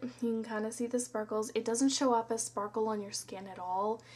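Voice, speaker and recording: A woman talks at a moderate pace and fairly high pitch in a normal speaking voice. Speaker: beauty vlogger. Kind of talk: product review. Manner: casual.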